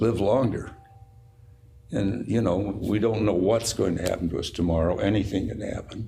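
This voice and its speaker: Somewhat breathy speech in an American accent moves at a moderate pace with ordinary pitch variation and audible room echo. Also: man. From Utah. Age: 90s. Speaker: company owner. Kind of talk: casual interview chat.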